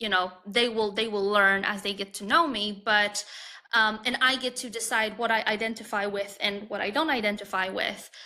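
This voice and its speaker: A woman with a Polish accent speaks at a moderate pace and a fairly high pitch. Her intonation is fairly even and her tone bright and sharp. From Poland. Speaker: confidence and dating coach. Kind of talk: podcast interview. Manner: halting.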